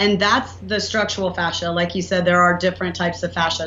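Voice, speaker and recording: With audible room echo and noticeable background noise, a woman of medium pitch speaks in a Southern US accent with fairly even intonation. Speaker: inventor and entrepreneur. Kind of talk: podcast interview.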